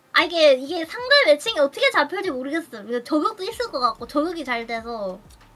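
A woman talks at a fairly quick pace with hardly any pauses, in a high pitch with a slight Daegu accent. Her tone is animated and her pitch swings very wide. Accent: slight Daegu dialect slipping in. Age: 20s. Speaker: streamer and game teacher; streamer, game teacher. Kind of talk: casual game coaching chat. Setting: voice call over Discord.

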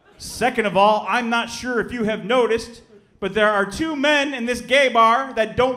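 Raising and projecting his voice, a man speaks at an extremely high pitch with ordinary pitch variation and a moderate pace. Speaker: stand-up comedian. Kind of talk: stand-up comedy performance. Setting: live comedy club with audience. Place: stage. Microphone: handheld.

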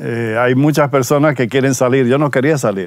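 A man speaks with a Dominican accent and fairly even intonation. The sound is dry, with no echo. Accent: non-Spanish (Dominican). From Dominican Republic. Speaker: pastor. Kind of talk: testimony. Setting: outdoors. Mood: warm, reflective, smiling. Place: forest. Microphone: lapel.

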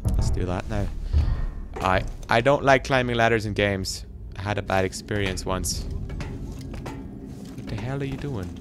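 Clear music plays in the background as a man speaks at a fairly slow pace. His fairly low voice swings very widely in pitch. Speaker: gaming YouTuber. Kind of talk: let's play commentary. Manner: animated.

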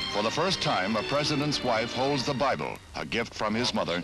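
Clear music plays in the background as a man speaks at a moderate pace and medium pitch with lively intonation, very even loudness and a dry sound with no echo. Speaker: newsreel narrator. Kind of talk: 1960s newsreel narration. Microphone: old recording.

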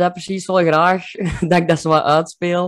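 A man speaks in a high voice with flat, monotone intonation. The background is quiet. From Kempen, Belgium. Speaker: comedian. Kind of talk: interview answer. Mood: cheerful, relaxed, smiling. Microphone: video call.

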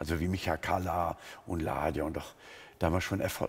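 A man's somewhat breathy voice. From Germany, Sinto background. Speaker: pastor and missionary among Roma; pastor. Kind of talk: interview testimony. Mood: earnest, engaged storytelling. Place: studio. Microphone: headset.

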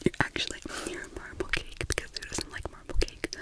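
A woman whispers at a fairly quick pace. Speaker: ASMR creator. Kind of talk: soft-spoken ASMR role-play. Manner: soft intimate close-mic voice. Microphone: phone near.

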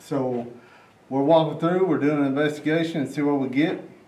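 In a room with audible echo, a man speaks in a dark, mellow tone with monotone, flat intonation. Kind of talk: casual vlog intro and walkthrough commentary. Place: classroom. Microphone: camera far.

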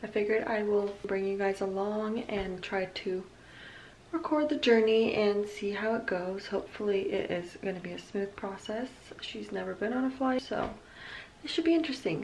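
Over light background noise, a woman speaks at a moderate pace. Her pitch varies in an ordinary way. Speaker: mom vlogger. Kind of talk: casual vlog chat. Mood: hopeful, slightly nervous. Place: home room. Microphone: phone near.

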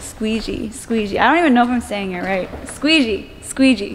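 A woman talks at a moderate pace with fairly high pitch and lively intonation. Faint background noise can be heard.

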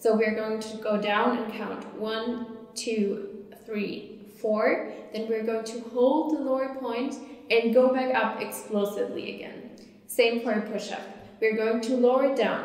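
A woman speaks at a fairly slow pace in a flat monotone, with audible echo from the room. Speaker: fitness instructor. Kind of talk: tutorial. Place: empty room.

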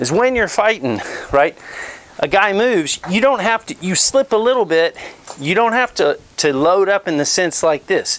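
Noticeable background noise sits behind the speaker. He is a man who talks at a fairly slow pace. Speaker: boxing instructor. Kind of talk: tutorial. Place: garage. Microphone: lapel.

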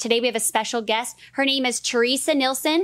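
A woman speaks at a fairly quick pace with ordinary pitch variation and a high pitch. The sound is dry with no echo, over a quiet background. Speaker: fitness coach. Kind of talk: podcast interview. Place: studio. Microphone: studio mic.

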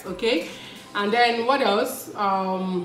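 A woman talks with ordinary pitch variation. Faint music plays in the background, and there is audible room echo. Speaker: family vlogger. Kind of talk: casual vlog chat. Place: kitchen. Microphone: phone near.

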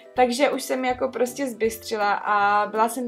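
A woman speaks at a fairly high pitch and a fairly slow pace, with ordinary pitch variation. Faint music plays in the background. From Czech Republic, Trutnov. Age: 20s. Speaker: vlogger. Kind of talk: casual story time talk to camera. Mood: earnest, slightly skeptical. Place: home room.

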